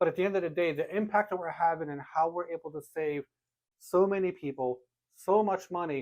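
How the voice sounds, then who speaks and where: A high-pitched man with an American accent, ordinary pitch variation, and a fairly quick pace. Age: 40s. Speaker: podcast host, insurance company owner. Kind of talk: podcast conversation.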